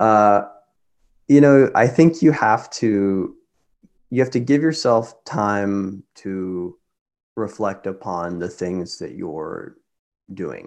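Speaking with an American accent at a fairly low pitch, a man talks at a very slow pace with long, frequent pauses, lively intonation, and big swings in loudness against a quiet background. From Kansas. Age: 20s. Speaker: medical school applicant, former music student. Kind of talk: casual interview chat.

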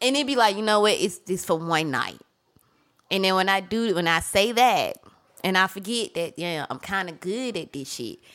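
With lively intonation, an unremarkable speaking voice proceeds at a moderate pace. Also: woman, medium pitch for a woman. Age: 30s. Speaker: podcast guest. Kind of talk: casual chat. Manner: laughs often.

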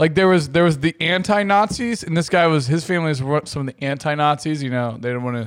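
Very fast and lively in intonation, a man with a fairly high pitch speaks in a very clean recording with a silent background. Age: 30s. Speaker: podcast co-host. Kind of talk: casual chat.

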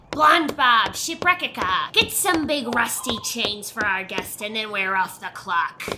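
In a put-on character voice, a female-sounding voice with fairly high pitch talks at a fairly slow pace with hardly any pauses. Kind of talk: put-on pirate growl. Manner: blustering, theatrical.

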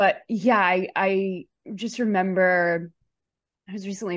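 A woman with an American accent has a normal speaking voice at medium pitch. Her intonation stays fairly even against a quiet background. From Chicago. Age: 30s. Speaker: actor and comedian. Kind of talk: casual interview.

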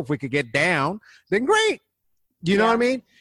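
A man at a very fast pace, in a dry, close sound with no echo. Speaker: comic, activist and guest co-host. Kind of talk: casual conversation.

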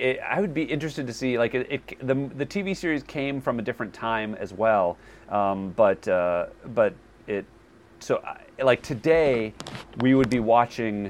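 Lively intonation runs through an ordinary speaking voice. The pace is moderate. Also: man, medium pitch for a man. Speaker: podcast co-host, movie buff. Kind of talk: casual chat.

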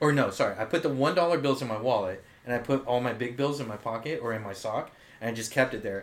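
With an American accent, a man talks at a fairly quick pace in an unremarkable speaking voice, medium in pitch with ordinary pitch variation. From Japanese American, family from Oahu. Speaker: podcast co-host, salesperson. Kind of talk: casual chat.

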